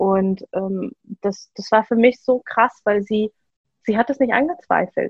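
At a very slow pace, a woman speaks in a fairly high pitch, somewhat breathy, with ordinary pitch variation and a dry, close sound with no echo. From Germany. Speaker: trainee psychotherapy practitioner and podcaster. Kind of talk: personal testimony in interview.

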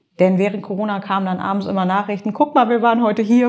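Against noticeable background noise, a woman talks with fairly even intonation at a fairly high pitch. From Nordhorn, Grafschaft Bentheim, northwest Germany. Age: 30s. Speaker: social media blogger and columnist. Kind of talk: casual interview. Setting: office.

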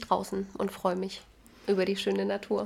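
A woman with an unremarkable speaking voice, medium pitch and moderate pace. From Jena, Thuringia, Germany. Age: 20s. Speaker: lab worker. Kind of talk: casual chat. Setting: host's home.

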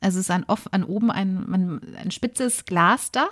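A woman's medium-pitched voice, dry and close with no echo, in a very clean recording with a silent background. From Germany, Ruhr area (Bochum). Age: 40s. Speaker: podcast co-host, former press officer. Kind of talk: casual storytelling chat.

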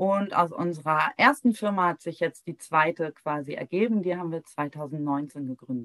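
A woman has an unremarkable speaking voice, fairly low in pitch with ordinary pitch variation. She talks at a moderate pace with hardly any pauses, in a dry, close sound with no echo. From Heligoland, northern Germany. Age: 40s. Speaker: founder of a grief support platform. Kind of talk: interview conversation.

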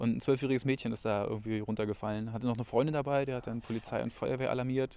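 Here a man talks at a very fast pace and a medium pitch. His tone is dark and mellow, with fairly even intonation. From Frankfurt (Oder), Brandenburg. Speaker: graffiti artist. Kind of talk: casual chat. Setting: outdoors on a city tour.

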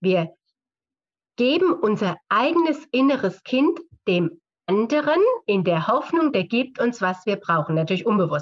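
Moving slowly, a woman's fairly high voice makes very wide pitch swings. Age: 50s. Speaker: physiotherapist, author and seminar leader. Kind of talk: interview conversation.

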